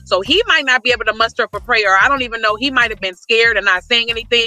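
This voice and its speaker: Over music in the background, a woman speaks very fast in an animated tone, her pitch fairly high. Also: ordinary pitch variation. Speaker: guest on a couples show. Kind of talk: testimony. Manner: loud.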